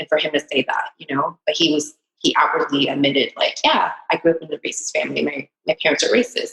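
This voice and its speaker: A woman with a Californian accent, talking at a very fast pace with hardly any pauses, in a dry, close sound with no echo. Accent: Californian American English. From Southern California, Huntington Beach (moved from Vietnam at age seven). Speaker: entrepreneur. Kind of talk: interview. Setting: podcast interview. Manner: halting, with many fillers.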